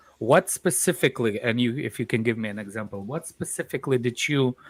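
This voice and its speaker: In a Russian accent, a man at medium pitch speaks at a moderate pace with ordinary pitch variation and a dry, close sound with no echo. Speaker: football fan panelist. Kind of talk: heated debate. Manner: halting.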